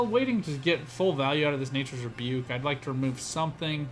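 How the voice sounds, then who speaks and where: Music plays in the background while the speaker talks at a fairly quick pace with ordinary pitch variation, and some room echo can be heard. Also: man. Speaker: gaming content creator. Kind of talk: gameplay commentary. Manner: fast; hesitant fillers.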